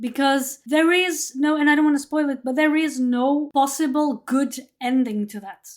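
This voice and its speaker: This speaker talks at a moderate pace with a Portuguese accent. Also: woman. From Portugal. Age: 30s. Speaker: podcast host. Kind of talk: casual chat. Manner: halting, many repetitions.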